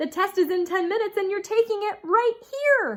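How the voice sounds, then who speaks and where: A woman does a put-on character voice that is squeaky and extremely high in pitch. She speaks at a moderate pace. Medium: read story. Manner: mumbling, mopey.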